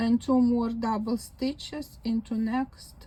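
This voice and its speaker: In a Ukrainian accent, a woman speaks with a fairly high pitch, a dark, mellow tone and monotone, flat intonation. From Ukraine. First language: Ukrainian or Russian. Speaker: crochet video maker. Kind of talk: crafting demonstration. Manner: slow counting aloud.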